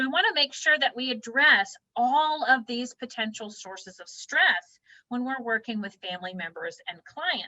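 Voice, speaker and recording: Raised and projected, a woman's high, bright, sharp voice moves at a moderate pace with very wide pitch swings and big swings in loudness, the sound dry and close with no echo. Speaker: counselor and author presenting a webinar. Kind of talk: lecture. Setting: webinar.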